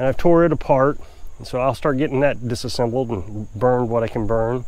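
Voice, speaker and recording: The sound is dry with no echo as a man speaks at a moderate pace. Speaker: off-grid homesteader vlogger. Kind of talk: casual vlog chat. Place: open country. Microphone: lapel.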